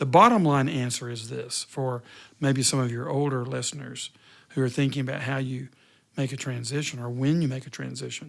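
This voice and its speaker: A man speaks in a normal speaking voice at medium pitch and a fairly quick pace. His intonation is fairly even, and the recording is very clean with a silent background. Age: 60s. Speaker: retired pastor. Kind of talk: interview.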